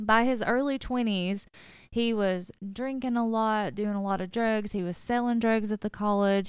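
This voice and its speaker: In a very clean recording with a silent background, a woman with a plain, everyday voice and a fairly high pitch speaks at a fairly slow pace. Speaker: podcast co-host. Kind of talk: casual podcast chat and narrated case retelling. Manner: laughs often, upbeat.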